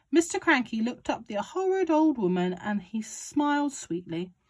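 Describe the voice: The clip consists of plain reading aloud.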